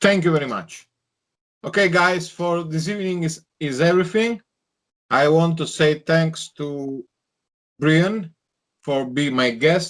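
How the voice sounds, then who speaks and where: Pausing long and often, a man with a non-native accent talks at a fairly slow pace and a fairly high pitch, with ordinary pitch variation. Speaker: online show host. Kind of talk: interview. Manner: halting.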